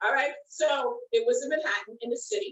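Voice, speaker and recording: A woman speaks with a New York accent at a fairly slow pace. Her high pitch moves in very wide swings. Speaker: storyteller recounting past job. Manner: chatty, storytelling.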